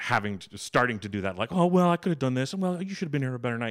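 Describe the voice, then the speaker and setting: The voice is loud, with very wide pitch swings. The recording is very clean, with a silent background. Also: man. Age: 30s. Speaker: improviser and actor. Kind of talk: casual chat. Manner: loud laugh.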